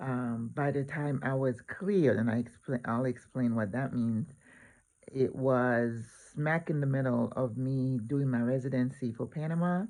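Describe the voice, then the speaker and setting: Against a quiet background, a man talks in an unremarkable speaking voice at a medium pitch with ordinary pitch variation. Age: 60s. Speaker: retired nurse, volunteer. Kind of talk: vlog explanation.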